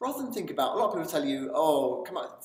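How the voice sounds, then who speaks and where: A man talks at a very fast pace, his pitch swinging very widely. Room echo can be heard. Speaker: self-help video presenter. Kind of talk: motivational talk to camera. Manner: animated.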